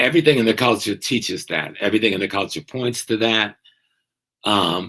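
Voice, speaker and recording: A man with an American accent speaks at a fairly quick pace in a fairly low pitch. His tone is bright and sharp, with ordinary pitch variation. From US South. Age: 70s. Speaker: professor. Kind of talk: interview.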